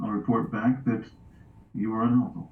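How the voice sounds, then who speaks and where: A man's rumbling, put-on character voice at medium pitch and a moderate pace. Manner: intimidating.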